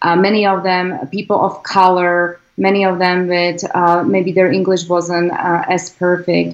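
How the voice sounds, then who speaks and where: A woman's fairly low voice with a Slovak accent. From Slovakia. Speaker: congressional candidate. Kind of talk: interview. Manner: halting.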